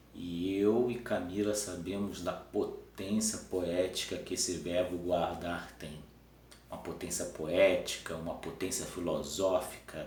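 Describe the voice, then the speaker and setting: A man's very deep, low voice at a very slow pace with fairly even intonation. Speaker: teacher. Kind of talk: improvised philosophical talk to camera. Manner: halting, some stumbles.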